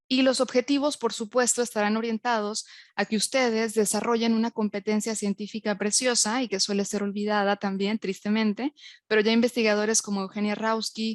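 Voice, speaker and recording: Monotone, flat intonation comes at a fairly quick pace. The sound is dry and close with no echo, and the background is quiet. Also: woman, fairly high pitch for a woman. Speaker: university lecturer and researcher. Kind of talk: lecture. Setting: online webinar.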